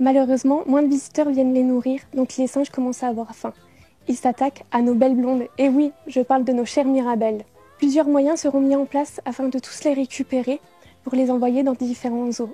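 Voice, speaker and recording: High-pitched and monotone, a woman speaks at a moderate pace with flat intonation. The sound is dry and close without echo, though background noise is noticeable. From Moselle, France. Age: 20s. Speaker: beauty pageant contestant. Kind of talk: scripted narration.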